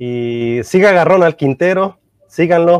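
In a normal speaking voice, a man with a fairly high pitch and ordinary pitch variation is heard in a dry, close sound with no echo. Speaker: radio host. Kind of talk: interview.

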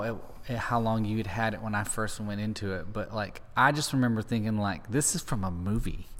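A man speaks in a normal speaking voice at a moderate pace. His pitch is fairly low. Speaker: podcast host. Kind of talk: casual interview.

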